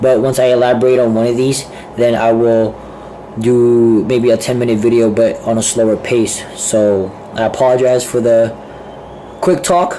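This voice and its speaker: At a moderate pace, a man with medium pitch keeps very even loudness and fairly even intonation, with audible room echo and noticeable background noise. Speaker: vlogger. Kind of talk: casual vlog monologue. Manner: hesitant, filler-heavy.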